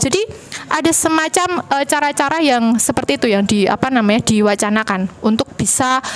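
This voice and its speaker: A woman speaks with a strong Javanese accent, her pitch rising and falling in an ordinary way. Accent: Javanese, medok. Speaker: university lecturer, panel speaker. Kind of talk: panel discussion talk. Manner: hesitant, many fillers.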